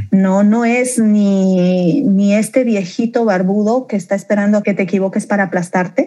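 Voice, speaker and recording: A woman's medium-pitched, somewhat breathy voice, dark and mellow in tone, with ordinary pitch variation. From Bolivia, Beni and La Paz, raised in Santa Cruz. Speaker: leader of a faith-based support organization. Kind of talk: podcast interview, personal testimony. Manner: animated.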